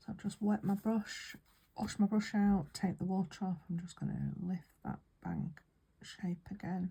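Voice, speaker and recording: Someone with a British accent speaks at a fairly slow pace. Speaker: watercolour painting teacher. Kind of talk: tutorial. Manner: soft-spoken; whispering.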